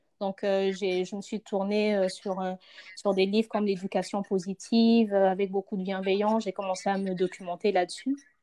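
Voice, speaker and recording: At a moderate pace, a woman with a dark, mellow tone and medium pitch speaks in monotone, flat intonation, the sound dry and close with no echo. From Congo. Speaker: mother, podcast guest. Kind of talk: casual chat.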